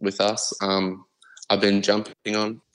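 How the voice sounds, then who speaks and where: A man with an Australian accent. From Queensland, Australia. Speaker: rapper. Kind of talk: casual interview. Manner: halting.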